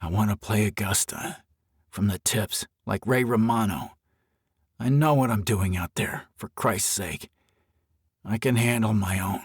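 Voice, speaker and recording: A man puts on a raspy character voice, fairly low in pitch with ordinary pitch variation, at a fairly slow pace. Long, frequent pauses break it up, and the sound is dry and close with no echo. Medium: read story. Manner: crude, profane.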